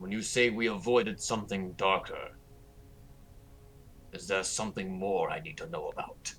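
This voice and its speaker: A man's put-on character voice, fairly low in pitch, at a moderate pace with big swings in loudness, long, frequent pauses and clear background noise. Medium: actual play. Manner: direct, suspicious.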